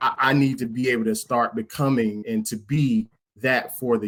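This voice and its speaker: A man talks with an American accent in a medium-pitched voice. His intonation stays fairly even. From US South (South Georgia). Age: 40s. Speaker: podcast guest. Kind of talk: casual group discussion. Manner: halting, repeats words.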